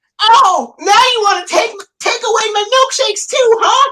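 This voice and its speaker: Using a put-on character voice, the speaker talks at an extremely high pitch and a moderate pace. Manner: pleading, then shouting and apologetic.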